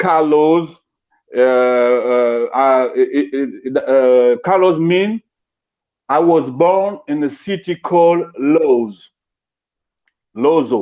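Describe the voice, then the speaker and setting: A man with a French accent speaks very slowly with long, frequent pauses, using a fairly high pitch, lively intonation and a dark, mellow tone. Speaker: interviewer, cultural activist. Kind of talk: live interview introduction. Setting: online live stream. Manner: halting, many repetitions.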